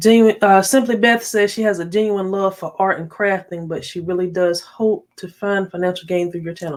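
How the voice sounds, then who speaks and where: With an American accent, a woman speaks at medium pitch. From North Carolina. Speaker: tech YouTuber. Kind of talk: live stream chat.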